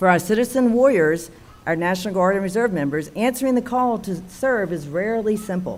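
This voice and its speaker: Audible room echo surrounds a woman with an American accent who speaks at a fairly quick pace with lively intonation. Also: medium pitch for a woman. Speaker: military officer. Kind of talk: formal speech. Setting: town council meeting. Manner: formal.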